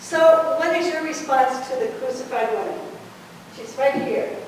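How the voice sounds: A woman's high-pitched, slightly mellow voice at a moderate pace, with strong room echo. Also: ordinary pitch variation.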